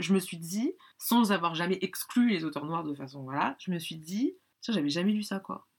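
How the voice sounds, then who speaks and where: A woman with a fairly low pitch speaks at a moderate pace on a very clean recording with a silent background. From France. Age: 30s. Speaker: book lover. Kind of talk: casual chat. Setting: in person. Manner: halting.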